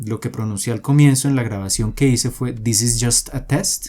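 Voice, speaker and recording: A man with a dark, mellow tone, a medium pitch with ordinary variation, and a moderate pace. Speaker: programming tutorial creator. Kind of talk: tutorial. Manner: explanatory, with many fillers.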